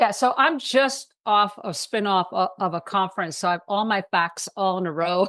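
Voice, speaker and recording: At a moderate pace and medium pitch, a woman speaks with ordinary pitch variation and hardly any pauses. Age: 60s. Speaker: detox and wellness expert. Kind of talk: interview. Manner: animated.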